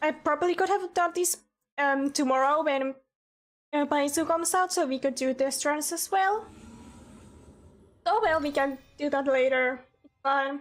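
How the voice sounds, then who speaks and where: A woman speaks with a high pitch and ordinary pitch variation at a moderate pace, with long, frequent pauses and big swings in loudness. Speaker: gaming streamer. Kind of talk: live stream commentary. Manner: hesitant, filler-heavy.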